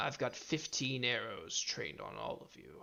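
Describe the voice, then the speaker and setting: A man shouts in a gruff, put-on character voice at a medium pitch. His pace is moderate. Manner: gruff, shouting.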